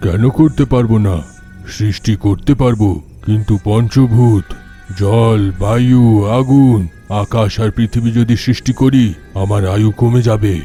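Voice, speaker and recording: Over clear background music, a man puts on a character voice at a medium pitch and a fairly slow pace. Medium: audio drama. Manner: laughing, commanding.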